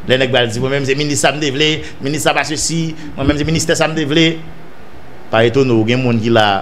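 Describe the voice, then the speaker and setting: A man with a Haitian accent at a fairly quick pace, over light background noise. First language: Haitian Creole (speaking French). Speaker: political news commentator. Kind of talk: news commentary monologue. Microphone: studio mic.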